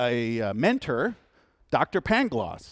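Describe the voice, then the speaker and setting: Against a quiet background, a man's pitch swings very widely in a dry, close sound with no echo. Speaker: computer science professor giving guest lecture. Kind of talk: lecture. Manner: fast; casual, colloquial.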